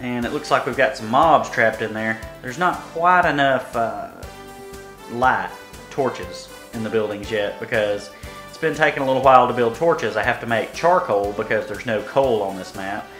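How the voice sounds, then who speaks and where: Music plays in the background as a man at medium pitch speaks at a moderate pace with lively intonation and big swings in loudness. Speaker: gaming video host. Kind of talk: game commentary.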